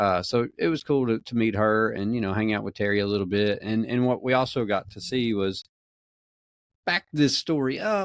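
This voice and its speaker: A man speaks at a medium pitch with a Southern US accent and ordinary pitch variation, in a dry, close sound with no echo. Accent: Southern US drawl. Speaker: podcast host. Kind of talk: casual chat.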